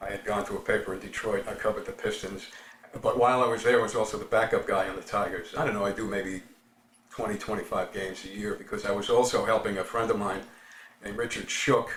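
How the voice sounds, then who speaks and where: A man talks at a very fast pace in a New York accent. There is noticeable background noise. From New York City, the Bronx. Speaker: baseball writer. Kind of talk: interview.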